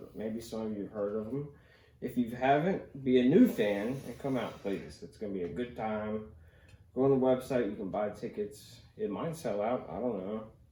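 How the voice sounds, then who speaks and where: Amid audible room echo, a man with an American accent and a dark, mellow, medium-pitched voice speaks at a moderate pace with ordinary pitch variation. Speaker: podcast host and comedian. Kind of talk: casual chat. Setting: home podcast studio.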